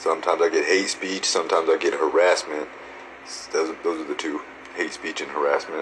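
An extremely low-pitched man's voice with a fairly bright tone, fairly even intonation, a moderate pace, and faint background noise.

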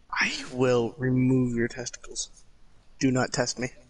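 Putting on a character voice, a man speaks in a monotone, flat intonation at medium pitch and a moderate pace. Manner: menacing.

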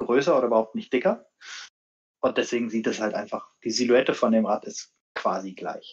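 A man speaks. The background is quiet. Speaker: bike brand marketing manager. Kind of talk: casual live stream chat. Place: home room. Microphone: video call.

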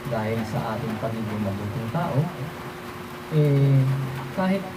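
There is noticeable background noise and audible room echo as a man speaks at medium pitch. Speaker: folk healer and amulet practitioner. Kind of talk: religious talk on protection against witchcraft. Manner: halting, many fillers.

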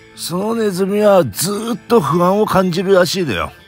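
Over faint background music, a man speaks at a moderate pace in a dry sound with no echo. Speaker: vlogger. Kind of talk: casual vlog chat. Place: home room. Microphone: phone near.

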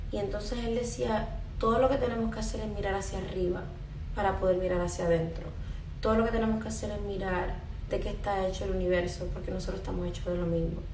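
A woman talks at a very fast pace, with audible room echo and light background noise. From Puerto Rico. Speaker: spiritual content creator. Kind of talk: live stream monologue. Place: home room. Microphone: phone near.

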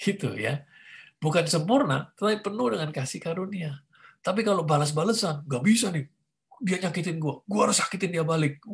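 Against a quiet background, a man talks at a fairly quick pace in a high pitch with lively intonation. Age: 50s. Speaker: pastor. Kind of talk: teaching talk. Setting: video call. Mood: warm, conversational. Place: home room. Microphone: video call.

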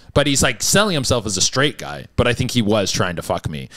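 The man's pitch leaps up and down very widely. He talks very fast. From Canada. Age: 30s. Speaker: comedian. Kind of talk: casual chat.

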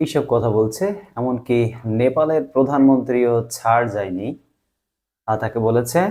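Dark and mellow in tone, this voice shows ordinary pitch variation. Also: man, medium pitch for a man. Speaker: YouTube news commentator. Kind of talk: informal news commentary.

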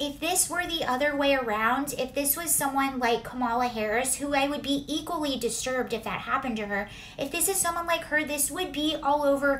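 Over light background noise, a woman speaks in a high pitch with ordinary pitch variation. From US California. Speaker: political commentator. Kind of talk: angry political rant, indignant commentary on a news clip. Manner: indignant, emphatic, sarcastic.

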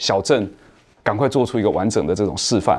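A fairly quick pace from a male speaker. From Taiwan, Nantou; Taiwan. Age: 40s. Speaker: cultural entrepreneur; guest. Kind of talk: panel discussion. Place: studio. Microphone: lapel.

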